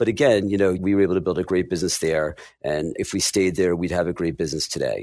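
A man with a very deep, low voice and an American accent, very fast delivery, ordinary pitch variation, and a very clean recording with a silent background. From New Jersey. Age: 50s. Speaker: financial advisor and firm principal. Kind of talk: interview.

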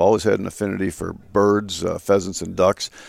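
Here a man speaks with an Upper Midwest accent. His voice is fairly low and his pace fairly quick. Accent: Upper Midwest (Minnesota). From Minnesota, Twin Cities. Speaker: state natural resources commissioner. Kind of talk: interview. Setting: lodge at a live event.

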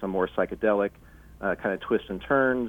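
A man with a normal speaking voice, moderate pace and fairly even intonation. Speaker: laser artist. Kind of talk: casual interview. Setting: phone call.

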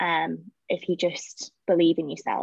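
A woman with vocal fry speaks fairly slowly with fairly even intonation, the sound dry and close with no echo and the background quiet. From Kidderminster, Worcestershire, England. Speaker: executive assistant. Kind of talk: panel discussion.

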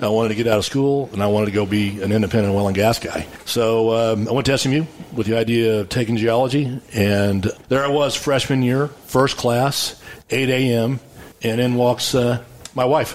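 A man with a Texan accent speaks at a medium pitch with fairly even intonation. His loudness stays very even over noticeable background noise. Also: moderate pace. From West Texas, Abilene. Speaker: geologist, oil wildcatter and winery owner. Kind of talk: casual interview.

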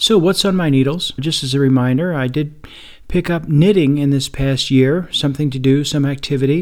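Using an ordinary speaking voice, a man talks at a moderate pace with a fairly high pitch and ordinary pitch variation. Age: 60s. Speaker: podcast host living with type 2 diabetes. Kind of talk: solo podcast monologue. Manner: relaxed, conversational.

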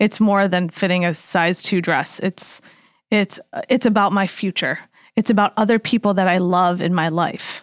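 In an ordinary speaking voice, a woman with an American accent speaks at a moderate pace and medium pitch, her intonation fairly even and her loudness very even, in a very clean recording with a silent background and a dry, close sound with no echo. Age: 40s. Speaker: dietitian and health coach. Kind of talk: casual chat.

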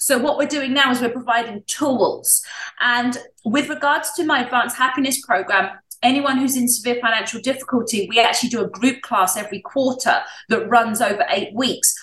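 A woman with an English accent and a high pitch talks at a fairly quick pace, her pitch varying in an ordinary way. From England. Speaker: wellness coach and show host. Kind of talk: interview.

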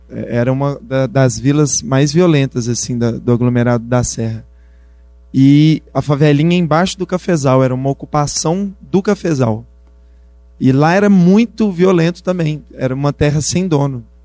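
This man's voice is fairly high, with a dark, mellow tone and ordinary pitch variation. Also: moderate pace. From Brazil, Belo Horizonte (Minas Gerais). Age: 20s. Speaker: rapper and community project founder. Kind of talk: talk to university class.

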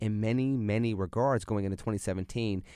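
A man with a normal speaking voice and an American accent, fairly low in pitch with ordinary variation, at a fairly quick pace in a very clean recording with a silent background. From Pittsburgh, western Pennsylvania. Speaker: political commentator and former congressional candidate. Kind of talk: radio interview. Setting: studio.

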